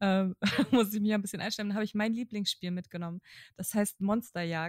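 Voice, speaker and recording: A woman at a medium pitch, with ordinary pitch variation, on a very clean recording with a silent background and a dry, close sound with no echo. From northern Germany (Kiel-Mettenhof). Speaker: podcast co-host. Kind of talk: casual chat.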